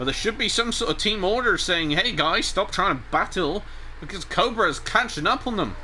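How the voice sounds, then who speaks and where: A man speaks in a high voice with an animated tone. His intonation is lively, and there is noticeable background noise. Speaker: sim racing commentator. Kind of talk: live commentary. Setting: live stream.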